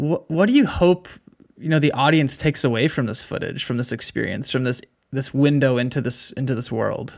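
A man talks fairly quickly with a fairly high pitch. The recording is very clean, with a silent background. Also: ordinary pitch variation. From California, Bay Area. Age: 30s. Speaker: podcast co-host. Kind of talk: casual interview.

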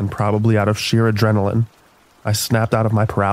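The voice sounds natural. It is reading something aloud.

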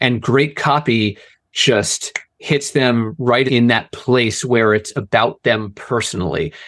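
A man with an American accent speaks at a very slow pace and a medium pitch. His loudness stays very even, with ordinary pitch variation. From Philadelphia area, US. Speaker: sales and marketing director, former teacher. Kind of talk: casual interview. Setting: video call.

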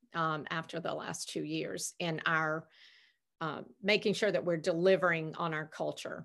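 A woman speaks at a moderate pace in a fairly low voice with vocal fry. Her intonation stays fairly even, and the background is quiet. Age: 50s. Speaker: hospitality executive and speaker. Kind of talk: interview.

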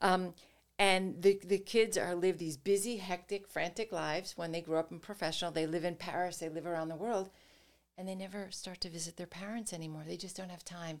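A woman with an American accent talks in a normal speaking voice, fairly low in pitch. Her pace is fairly quick and her intonation fairly even. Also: big swings in loudness. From New York, Westchester County. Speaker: business professor and author. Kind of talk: interview.

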